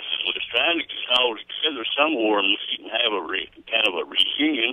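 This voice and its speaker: Amid noticeable background noise, a man talks at a fairly quick pace in a medium pitch with lively intonation. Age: 60s. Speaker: caller to local radio show. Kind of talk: casual phone chat.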